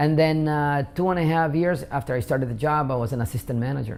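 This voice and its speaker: A man with a Spanish accent talks at a very fast pace, his pitch varying in an ordinary way. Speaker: immigrant interviewee. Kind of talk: interview. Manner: halting, many fillers.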